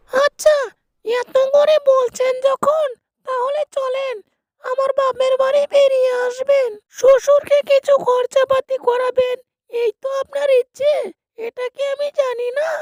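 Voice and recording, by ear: A woman uses a cartoonish character voice at an extremely high pitch, monotone and flat, at a fairly slow pace, with a dry, close sound with no echo.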